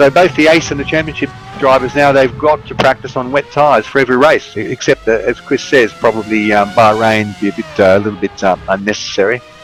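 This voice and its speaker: A man with an Australian accent speaks at a very fast pace over background music, his medium pitch varying in an ordinary way. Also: hardly any pauses. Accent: anglicised Australian, moderate. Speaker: sim racing commentator. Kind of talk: live commentary.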